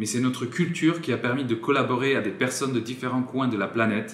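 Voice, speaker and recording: Someone with a slight Polish accent talks at a fairly quick pace. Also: man. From France. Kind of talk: political appeal to camera.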